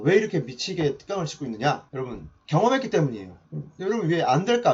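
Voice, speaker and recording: A man speaks very fast in a high voice. His pitch swings very widely and his loudness rises and falls sharply. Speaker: mentor giving online lectures. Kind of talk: lecture.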